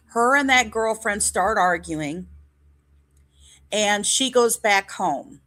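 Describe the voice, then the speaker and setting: Loud and very slow, a woman with an American accent speaks in a bright, sharp tone at a medium pitch, leaving long, frequent pauses. Her pitch variation is ordinary, and the recording is very clean with a silent background. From Northwest Indiana, Hammond. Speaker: true crime streamer. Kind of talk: live stream narration. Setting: live stream with chat.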